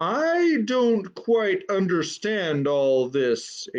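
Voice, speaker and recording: Using a put-on character voice, a man speaks at a high pitch with very wide pitch swings. His pace is very slow. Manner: puzzled.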